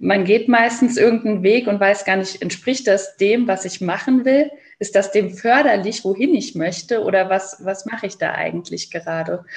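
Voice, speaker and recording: At a moderate pace with hardly any pauses, a woman talks in an ordinary speaking voice at medium pitch with ordinary pitch variation. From Saarland, Germany. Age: 30s. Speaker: educator and children's book author. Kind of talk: interview.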